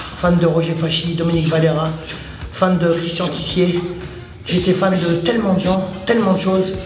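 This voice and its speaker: With music in the background and audible room echo, a man speaks in a high pitch at a moderate pace, his intonation monotone and flat, his loudness very even, and his speech broken by long, frequent pauses. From France, Paris suburbs (La Courneuve). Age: 60s. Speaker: martial arts coach. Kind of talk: casual vlog talk. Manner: halting.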